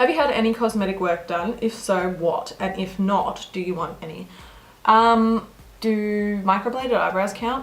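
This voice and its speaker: With an Australian accent, a woman speaks at a medium pitch and moderate pace with ordinary pitch variation. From Australia, Melbourne. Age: 20s. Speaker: beauty vlogger. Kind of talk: casual Q&A chat.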